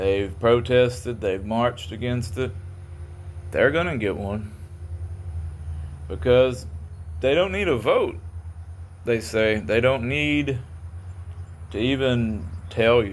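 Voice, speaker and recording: Delivered very slowly in a Kentucky accent, the speech has lively intonation, long and frequent pauses, and audible room echo. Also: man, medium pitch for a man. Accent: Southern US (Kentucky). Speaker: auditor and video creator. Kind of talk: casual monologue to camera. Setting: in a car. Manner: occasional stutter; halting, slightly impaired articulation.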